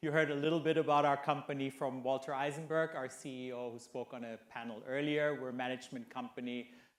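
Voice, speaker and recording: Fairly high male speech, fairly quick in pace and ordinary in pitch variation. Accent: German. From Germany. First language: German. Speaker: hotel executive. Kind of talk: conference panel discussion.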